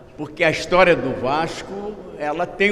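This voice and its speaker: A man with a fairly high pitch is heard over noticeable background noise, with audible room echo. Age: 80s+. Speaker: club council member. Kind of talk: speech at a club council meeting. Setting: council meeting, speaking at the rostrum.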